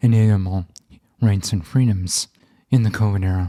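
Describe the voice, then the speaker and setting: A man's somewhat breathy, fairly low voice with a dark, mellow tone, ordinary pitch variation and a moderate pace. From Canada. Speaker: podcast host. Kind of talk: scripted intro; podcast interview.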